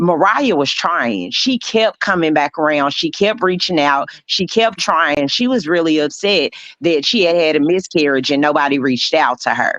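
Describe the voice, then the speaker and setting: Lively intonation in an American accent, at a moderate pace with hardly any pauses and very even loudness. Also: woman, fairly low pitch for a woman. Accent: strong Southern US, somewhat minimized. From US South, Memphis. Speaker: panelist on a reality TV review show. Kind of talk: casual panel discussion.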